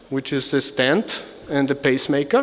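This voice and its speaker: With an Austrian accent, a man talks at a moderate pace in a fairly high pitch over noticeable background noise. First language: German. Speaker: medical device company executive. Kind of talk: conference presentation. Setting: conference hall with audience. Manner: halting.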